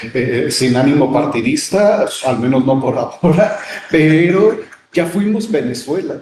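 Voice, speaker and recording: A man with a fairly high pitch talks at a fairly slow pace, with very wide pitch swings and big swings in loudness. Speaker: radio host. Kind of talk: casual chat.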